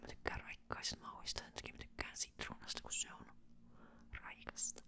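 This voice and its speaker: Whispering, a woman speaks at a moderate pace. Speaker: ASMR creator. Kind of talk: ASMR casual chat to camera. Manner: whispered.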